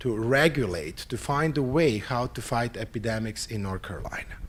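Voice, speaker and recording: With a Serbian accent, a man at a medium pitch speaks at a fairly slow pace with lively intonation. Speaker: psychiatry professor. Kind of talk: conference opening talk / lecture. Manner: halting, with fillers.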